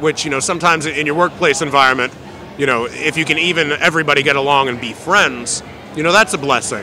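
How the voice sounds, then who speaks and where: A man at a fairly high pitch talking at a very fast pace, ordinary pitch variation, music in the background. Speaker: ring announcer. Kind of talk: interview answer. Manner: casual, conversational.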